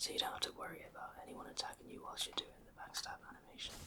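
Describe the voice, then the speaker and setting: Relaxed whispering at a fairly quick pace, amid noticeable background noise. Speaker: gamer / ASMR content creator. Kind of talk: casual gameplay commentary. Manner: whispered, relaxed.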